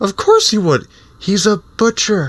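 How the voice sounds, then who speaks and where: Using a put-on character voice, a man speaks at a high pitch. His pace is fairly slow. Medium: actual play.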